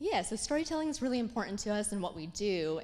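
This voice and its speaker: There is audible room echo as a woman talks at a fairly quick pace. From immigrant child raised in US. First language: not English. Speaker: diversity consultant. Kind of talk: conference talk.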